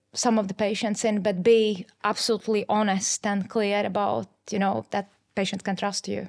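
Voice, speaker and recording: A woman speaks at a moderate pace in a fairly high pitch, her intonation monotone and flat. The recording is very clean, with a silent background. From Eastern/Northern Europe. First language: not English. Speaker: government trade investment specialist. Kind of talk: podcast interview. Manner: hesitant, many fillers.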